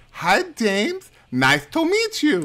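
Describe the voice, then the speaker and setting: The put-on character voice sits at a fairly high pitch. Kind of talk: friendly greeting.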